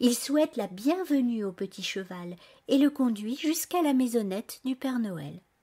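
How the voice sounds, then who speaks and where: A woman speaks in a fairly high, somewhat breathy voice with a gentle, warm tone and very wide pitch swings. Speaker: storyteller and author. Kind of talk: bedtime story telling, scripted narration read aloud to children. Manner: gentle, soft, warm storyteller voice, expressive and animated with character dialogue.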